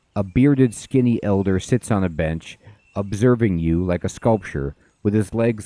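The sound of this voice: Text read in an unforced reading voice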